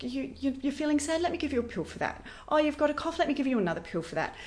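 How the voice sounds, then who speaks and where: A woman with an Australian accent speaks in a high voice with lively intonation. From Western Australia, Perth. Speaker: wellness educator. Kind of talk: interview. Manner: animated.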